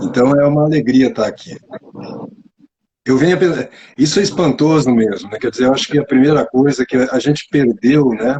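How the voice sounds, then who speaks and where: A man's fairly high, somewhat breathy voice at a fairly quick pace, with ordinary pitch variation and long, frequent pauses. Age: 60s. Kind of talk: interview. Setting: live stream video call.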